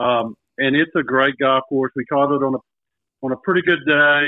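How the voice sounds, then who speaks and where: This man speaks at a moderate pace with a fairly high pitch and an unremarkable speaking voice. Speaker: golf guest. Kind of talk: casual chat.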